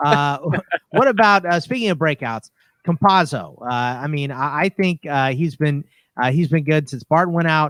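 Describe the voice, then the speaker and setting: A man with a normal speaking voice talks at a moderate pace and a fairly high pitch. His pitch variation is ordinary, and the sound is dry and close with no echo. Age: 30s. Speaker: fantasy basketball podcast host. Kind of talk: casual chat.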